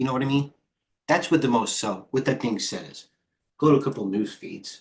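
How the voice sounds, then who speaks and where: In a New York accent, the speaker talks at a fairly quick pace, with ordinary pitch variation and big swings in loudness. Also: man, medium pitch for a man. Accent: heavy New York. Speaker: stock trader and trading coach. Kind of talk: live trading stream commentary. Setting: live stream. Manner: fast; animated.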